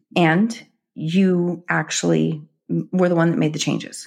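This woman's pitch is fairly low, with ordinary variation, and she speaks very slowly. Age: 50s. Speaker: author and NLP practitioner. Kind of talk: interview.

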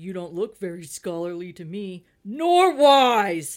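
A put-on character voice at middle pitch, fairly slow in pace. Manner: disdainful, pompous.

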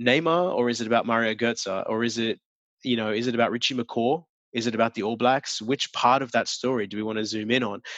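A man with an Australian accent, medium pitch, fairly even intonation and a fairly quick pace, in a dry, close sound with no echo and a quiet background. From Australia, Sydney. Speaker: advertising strategist. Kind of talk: interview.

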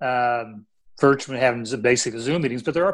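An unremarkable speaking voice from a man with an American accent, fairly high in pitch, with ordinary pitch variation. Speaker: retired police chief. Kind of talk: interview.

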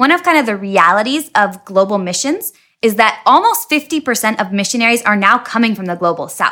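Bright and sharp, a woman's voice with an American accent moves at a fairly quick pace with lively intonation on a very clean recording with a silent background. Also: fairly high pitch for a woman, hardly any pauses. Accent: American, noticeable to host. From Washington State. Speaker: missionary. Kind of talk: casual interview.

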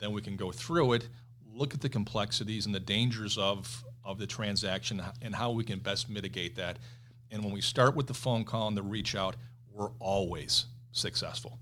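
In a Western New York accent, the speaker talks at a moderate pace with a bright, sharp tone and fairly even intonation. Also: man, fairly low pitch for a man. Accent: Western New York (Inland North) American. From Buffalo, New York. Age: 50s. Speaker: commercial real estate executive. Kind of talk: interview.

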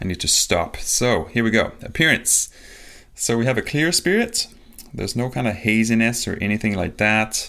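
The voice moves at a moderate pace with lively intonation on a very clean recording with a silent background. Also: man. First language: not English. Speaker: podcast host, spirits reviewer. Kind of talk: solo tasting review monologue. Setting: home recording on video. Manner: casual, hesitant with fillers.

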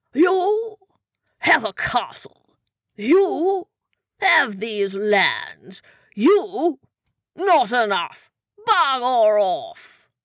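A put-on character voice, fairly high in pitch. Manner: blustering, petulant, boozy.

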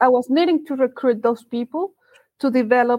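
A woman speaks in a Colombian accent at a high pitch. Her pace is moderate, with ordinary pitch variation. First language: Spanish. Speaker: recruiter. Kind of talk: interview.

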